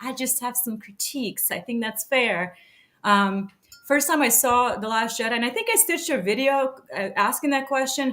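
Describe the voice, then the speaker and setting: Her voice is high-pitched, and this woman's tone comes across bright and sharp. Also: ordinary pitch variation, moderate pace. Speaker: podcast host. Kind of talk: casual chat.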